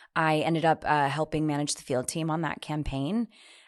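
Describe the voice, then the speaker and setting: With a slight Midwestern accent, a woman speaks in a very deep, low pitch against a quiet background. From US Midwest, Wisconsin. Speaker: election reform organizer. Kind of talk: interview.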